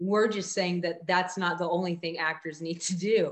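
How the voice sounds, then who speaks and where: A woman speaks in a fairly low pitch with flat, monotone intonation. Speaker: podcast host and headshot photographer. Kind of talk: casual interview conversation.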